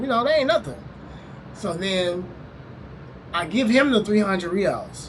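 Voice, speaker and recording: Over noticeable background noise and audible room echo, a man speaks at a high pitch. His intonation is lively and his pace moderate. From US South, Louisiana. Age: 20s. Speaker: travel vlogger. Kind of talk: casual storytelling. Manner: casual, filler-heavy.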